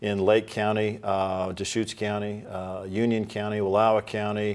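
Speaking at a moderate pace, a man uses a fairly low pitch and a monotone, flat intonation. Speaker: candidate. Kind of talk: interview answer. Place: studio.

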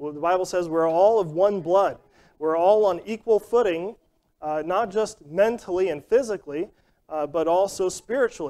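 Moderate pacing and ordinary pitch variation in a man's high voice. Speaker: Sunday school teacher. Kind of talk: sermon-like lesson. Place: church.

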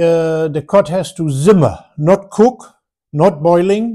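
The man's voice sits high in pitch. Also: quiet background. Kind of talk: casual vlog chat. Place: home room. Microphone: phone near.

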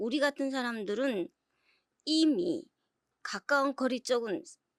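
Very wide pitch swings mark this woman's high voice. The sound is dry and close with no echo, in a very clean recording with a silent background. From North Korea, South Hamgyong province. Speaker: North Korean defector. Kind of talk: interview.

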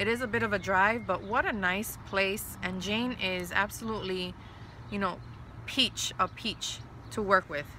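The speech moves at a moderate pace, with a dry, echo-free sound over light background noise. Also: woman. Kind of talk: casual informational update. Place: garden.

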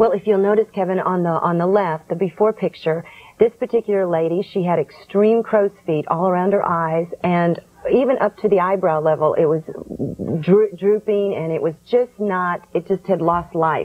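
Fairly even in intonation, a woman talks at a moderate pace. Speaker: skincare product developer. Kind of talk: infomercial interview answer. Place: studio.

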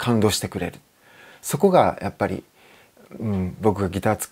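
With ordinary pitch variation, a man talks at a moderate pace in a fairly low pitch. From Japan. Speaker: guitar maker. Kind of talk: interview. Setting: workshop. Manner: relaxed, with many fillers. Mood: calm, reflective. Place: workshop. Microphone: lapel.

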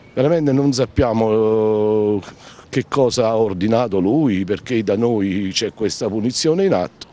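Heard in a dry sound with no echo, a man speaks at a fairly slow pace and medium pitch, with ordinary pitch variation and very even loudness. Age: 50s. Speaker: shopkeeper spokesman. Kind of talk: news interview; interview answer. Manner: halting. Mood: frustrated, complaining. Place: street. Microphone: handheld.

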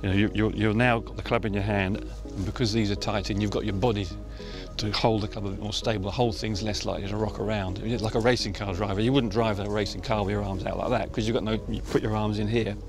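Over clear music in the background, a man speaks at a very fast pace, and the sound is dry with no echo. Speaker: putting coach. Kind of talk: interview answer. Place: open country.

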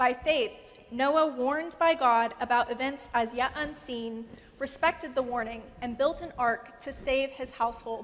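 A woman's high-pitched voice at a moderate pace. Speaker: guest preacher. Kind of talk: sermon. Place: church. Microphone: lapel.

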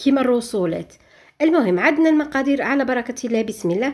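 A woman with a high pitch talks at a fairly quick pace over a quiet background. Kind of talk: tutorial. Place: kitchen.

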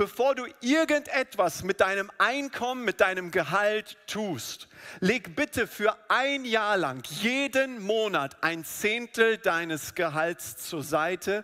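A man's raised, projected voice at a very slow pace over a quiet background. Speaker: preacher. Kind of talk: sermon. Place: church. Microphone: headset.

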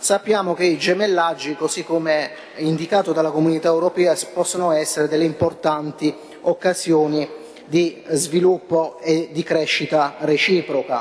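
A man's fairly high, monotone, flat voice at a moderate pace, with very even loudness. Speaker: city councillor. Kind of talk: council debate speech. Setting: council chamber. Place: hall. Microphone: podium.

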